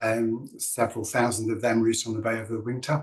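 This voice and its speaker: This man has a northern English accent. He speaks at a moderate pace. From northern England, Lancashire. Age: 60s. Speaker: dance organisation director. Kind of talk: presentation in online event. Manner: meandering with hesitations.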